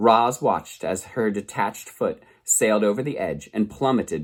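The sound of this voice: With ordinary pitch variation, the reading voice stays unforced.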